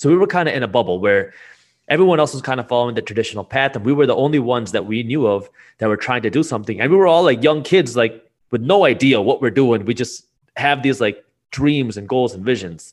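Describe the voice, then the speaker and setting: Against a quiet background, a man with a medium pitch speaks at a very fast pace with lively intonation. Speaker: business founder and finance YouTuber. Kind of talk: casual interview.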